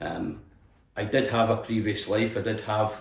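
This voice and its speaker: A man with a west of Scotland accent speaks at a moderate pace with a fairly low pitch. His voice is somewhat breathy, and audible room echo surrounds it. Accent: west of Scotland Scottish. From Scotland, Helensburgh near Glasgow. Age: 60s. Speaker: distillery tour guide. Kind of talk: casual interview chat. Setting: indoors in a cottage. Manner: hesitant, with fillers and repetitions.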